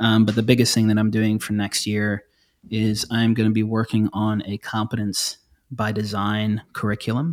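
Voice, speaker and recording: The recording is very clean with a silent background. A man with a fairly low voice speaks at a moderate pace in a monotone, flat intonation. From South Africa and Zaire (DR Congo), moved to US as child in early 1990s. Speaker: functional neurologist. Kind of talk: interview conversation.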